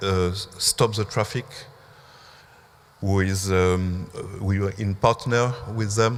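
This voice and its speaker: A man's fairly low, flat monotone in a French accent at a very slow pace. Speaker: museum curator. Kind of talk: symposium talk. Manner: halting, many fillers.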